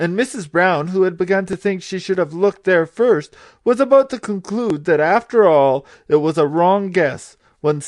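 Lively intonation over plain reading aloud

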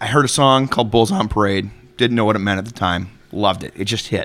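A man with an American accent, fairly low in pitch, fairly quick and fairly even in intonation, amid noticeable background noise. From Chicago area, US Midwest. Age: 30s. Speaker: metal podcast co-host. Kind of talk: casual chat.

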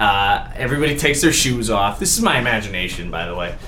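A man with an American accent talks amid noticeable background noise and audible room echo. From Connecticut, Waterford. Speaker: podcast guest. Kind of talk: casual chat.

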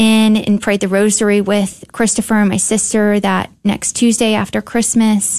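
Her intonation flat and monotone, a woman speaks at a medium pitch and a fairly slow pace. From Houston, Texas. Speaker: guest sharing faith story, volunteer barber. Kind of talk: testimony. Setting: studio.

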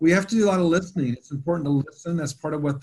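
This man, somewhat breathy and with an American accent, shows ordinary pitch variation. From US South, Atlanta. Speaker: theology professor. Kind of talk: panel discussion.

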